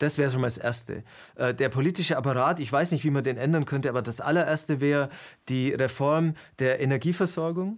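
In a normal speaking voice, someone talks at a fairly quick pace with ordinary pitch variation on a very clean recording with a silent background. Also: man, fairly high pitch for a man. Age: 50s. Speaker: video interviewer and presenter. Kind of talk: interview conversation.

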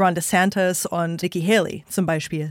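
With an English accent, a woman talks at a moderate pace and medium pitch, the sound dry and close with no echo. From US, New York State. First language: English (speaking German). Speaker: podcast host and interviewer. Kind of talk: political analysis chat. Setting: studio.

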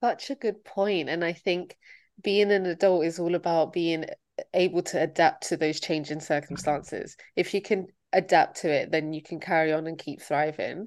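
In an ordinary speaking voice, a woman with a fairly low pitch talks at a moderate pace with fairly even intonation over a quiet background. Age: 20s. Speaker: podcast co-host. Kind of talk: casual chat.

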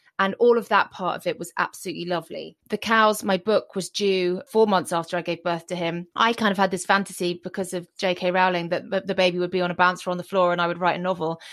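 A woman's plain, everyday voice at medium pitch, with fairly even intonation and a quiet background. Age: 40s. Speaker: author and former TV documentary presenter. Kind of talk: interview conversation. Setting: remote call from home.

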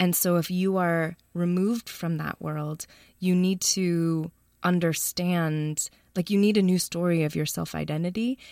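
With an American accent, a woman speaks in a plain, everyday voice, fairly low in pitch, at a fairly slow pace with fairly even intonation. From US Midwest, Chicago. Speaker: documentary filmmaker. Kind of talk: interview.

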